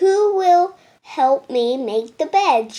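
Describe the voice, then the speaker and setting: A woman's put-on character voice is squeaky and extremely high-pitched. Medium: read story. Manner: patient, practical.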